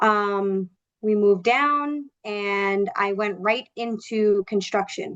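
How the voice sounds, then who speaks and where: A woman with an American accent and medium pitch. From New York, Long Island (Suffolk County). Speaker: sales manager. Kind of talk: interview. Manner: loud; animated.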